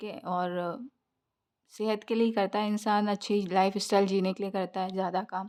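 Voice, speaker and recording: This woman's intonation stays monotone and flat. Her voice sits at a medium pitch. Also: very clean recording, silent background. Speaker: tarot reader. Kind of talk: tarot reading. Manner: hesitant with fillers.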